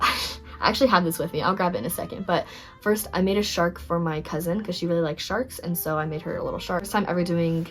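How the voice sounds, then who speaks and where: A woman talks very fast at a fairly low pitch, her pitch rising and falling in an ordinary way, with music playing behind her. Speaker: crochet vlogger, college student. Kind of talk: casual chat.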